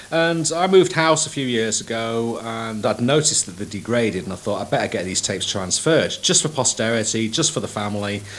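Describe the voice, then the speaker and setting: A man's medium-pitched voice is heard through noticeable background noise. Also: fairly quick pace, hardly any pauses. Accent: Manchester. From northern England, Manchester. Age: 40s. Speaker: sound engineer and musician. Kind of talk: documentary interview. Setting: recording studio. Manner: halting.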